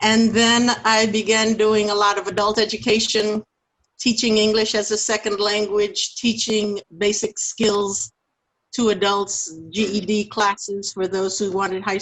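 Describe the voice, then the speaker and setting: This woman has a medium pitch. She talks at a fairly slow pace. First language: French. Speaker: minister and teacher. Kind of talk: interview.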